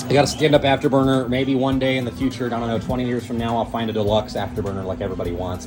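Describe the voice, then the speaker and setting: Music plays in the background with audible room echo. A man talks at a very fast pace with fairly even intonation. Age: 20s. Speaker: arcade collector, video creator. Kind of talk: home tour walkthrough. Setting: home game room. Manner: casual, filler-heavy.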